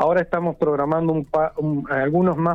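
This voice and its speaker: A man talks with fairly high pitch. His pace is moderate. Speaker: municipal zoonosis director. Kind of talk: radio phone interview. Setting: phone call.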